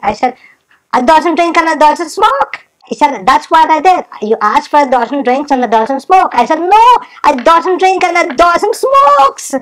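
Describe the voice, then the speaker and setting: With a Guyanese accent, a woman speaks at a moderate pace in a playful tone, her high voice full of lively intonation. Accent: Guyanese Creole English. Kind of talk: comedic storytelling monologue. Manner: playful, chatty.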